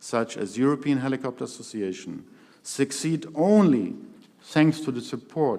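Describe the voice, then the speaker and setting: This is an ordinary speaking voice. A man talks at a fairly slow pace with medium pitch. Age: 60s. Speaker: helicopter pilot and association chairman. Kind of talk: keynote speech. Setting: stage with audience. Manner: formal.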